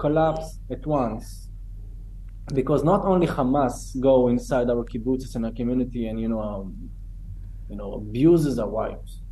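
A man speaks with an Israeli accent. His pace is moderate. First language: Hebrew. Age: 30s. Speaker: October 7 survivor. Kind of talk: testimony.

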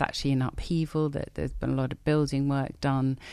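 A woman talks in a very deep, low pitch. Her intonation is monotone and flat over a quiet background. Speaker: theologian and college principal. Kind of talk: radio interview.

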